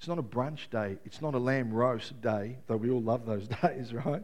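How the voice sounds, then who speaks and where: A man speaks at a moderate pace and medium pitch with lively intonation. His voice carries some room echo. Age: 50s. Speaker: pastor. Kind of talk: sermon.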